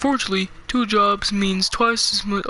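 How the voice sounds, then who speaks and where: In a put-on character voice with a fairly high pitch, the speaker goes at a moderate pace over light background noise. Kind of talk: kid gamer reading game dialogue. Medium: game stream. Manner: laid-back, joking.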